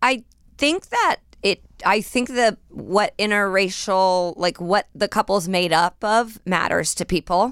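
Delivered with an American accent in a plain, everyday voice, the speech holds very even loudness with ordinary pitch variation. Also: woman, medium pitch for a woman, fairly slow pace. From Indiana, US Midwest. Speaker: comedian. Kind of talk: casual chat.

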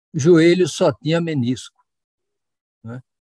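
Here a man's voice sits at a fairly high pitch. He speaks at a very slow pace. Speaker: knee surgeon. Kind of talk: interview testimony.

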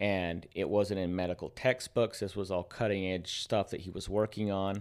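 A man has a plain, everyday voice with fairly low pitch and a moderate pace. The recording is very clean, with a silent background. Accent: American. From United States. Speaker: health and wellness practitioner. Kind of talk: casual chat.

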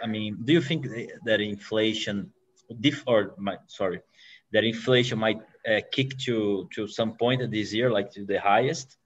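With a Portuguese accent, a man speaks at a fairly slow pace, his medium pitch showing ordinary variation. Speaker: podcast host. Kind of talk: interview. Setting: video call. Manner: halting.

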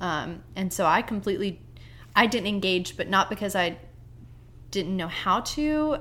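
At a fairly slow pace, a woman speaks at medium pitch in an unremarkable speaking voice. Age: 20s. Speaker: army wife, teacher and stay-at-home mom. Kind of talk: casual chat.

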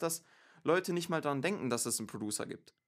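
A man's voice, very cleanly recorded against a silent background. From Stuttgart, Germany. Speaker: music producer and rapper. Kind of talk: casual interview. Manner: halting, many fillers.

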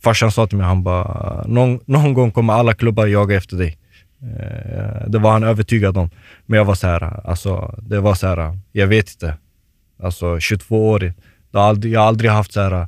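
This man has an ordinary speaking voice, pitched fairly low, delivered at a moderate speed with fairly even intonation. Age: 20s. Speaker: professional footballer. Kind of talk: casual chat. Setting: studio.

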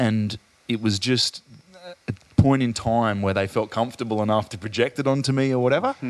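Here a man speaks with an Australian accent at a medium pitch. His intonation is fairly even. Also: fairly quick pace. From Adelaide, Australia. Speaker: podcast host. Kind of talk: casual interview conversation.

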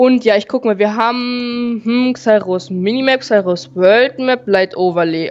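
A woman with lively intonation over noticeable background noise. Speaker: Minecraft gaming podcast co-host. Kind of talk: casual gameplay chat. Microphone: too quiet.

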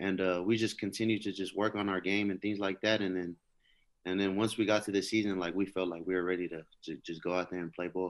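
Over a quiet background, a man with an American accent speaks very fast in a very deep, low pitch, his intonation monotone and flat. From California. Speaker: former college football player preparing for the draft. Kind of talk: interview.

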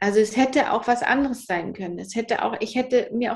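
In an unremarkable speaking voice, a woman talks at a fairly quick pace with a fairly high pitch and ordinary pitch variation. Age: 30s. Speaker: psychotherapy practitioner and author. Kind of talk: interview, personal story.

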